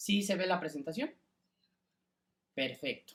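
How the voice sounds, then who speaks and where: The man's voice sits high in pitch. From Mexico City. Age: 20s. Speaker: lawyer and lecturer. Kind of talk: lecture. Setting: video call. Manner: hesitant, frequent fillers.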